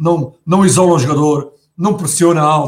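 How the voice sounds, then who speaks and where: His voice is fairly high for a man. The intonation stays fairly even. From Portugal, Setúbal. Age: 40s. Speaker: football pundit, former player. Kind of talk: casual football talk show. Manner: halting, many repetitions and fillers.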